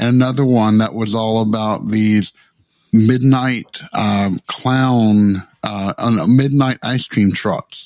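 A man with a Tennessee accent talks at a very slow pace and medium pitch. His intonation is fairly even, and the sound is dry and close with no echo. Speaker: podcast co-host.

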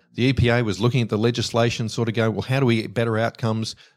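On a very clean recording with a silent background, a man with an Australian accent talks very fast at medium pitch, his intonation monotone and flat. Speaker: stormwater engineer, company director. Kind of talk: casual interview.

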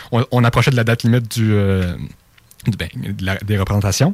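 A man with a plain, everyday voice and a fairly low pitch talks at a moderate pace with fairly even intonation. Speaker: student theatre performer. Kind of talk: interview.

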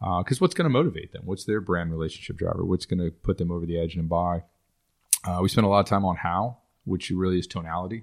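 A man with a Texan accent talks at a very fast pace in a very deep, low pitch. His intonation is fairly even, and the background is quiet. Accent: Texan American. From Texas. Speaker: digital agency owner and speaker. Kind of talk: podcast interview.

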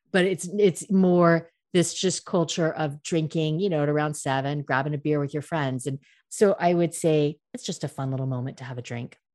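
A woman's very deep, low voice at a moderate pace, with ordinary pitch variation over a quiet background. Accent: American. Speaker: cocktail expert, American expat in Paris. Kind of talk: casual interview chat.

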